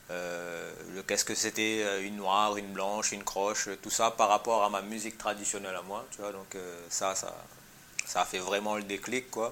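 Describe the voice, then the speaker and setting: With noticeable background noise, a man speaks at a moderate pace in a fairly low pitch and monotone, flat intonation. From Réunion, Saint-Pierre. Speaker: musician, percussionist. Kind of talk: interview. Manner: halting, many repetitions.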